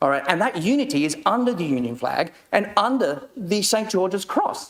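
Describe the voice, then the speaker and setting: The speaker is a man with an Australian accent. His pitch rises and falls over a very wide range. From Australia and Papua New Guinea. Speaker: county councillor. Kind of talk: council meeting debate answer. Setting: council chamber. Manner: impassioned; halting.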